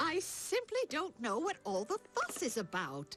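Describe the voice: A cartoonish character voice makes very wide pitch swings at a moderate pace. Loudness stays very even, with clear music in the background. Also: woman, high pitch for a woman.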